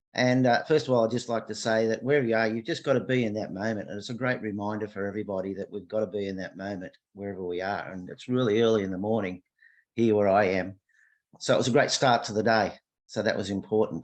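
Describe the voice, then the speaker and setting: With an Australian accent, a man speaks very fast in a fairly low voice. His pitch varies in an ordinary way, and the background is quiet. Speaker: workshop participant. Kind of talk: casual reflection on a video call. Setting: video call.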